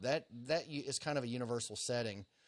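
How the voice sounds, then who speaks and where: Fairly even intonation in a very clean recording with a silent background. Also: man. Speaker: social media tutorial host. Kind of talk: tutorial. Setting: Facebook Live stream. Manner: slow, deliberately paced.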